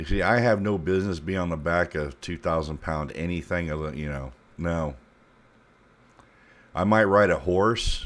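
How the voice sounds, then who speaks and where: With an American accent, a man speaks in a very deep, low pitch, leaving long, frequent pauses. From South Florida. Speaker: streamer. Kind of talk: casual chat.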